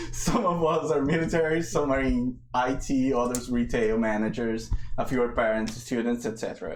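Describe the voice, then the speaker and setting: A man of medium pitch with a strong Brazilian accent, moderate pace and ordinary pitch variation, in a room with audible echo. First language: Portuguese. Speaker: game master. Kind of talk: narration; casual chat. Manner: halting.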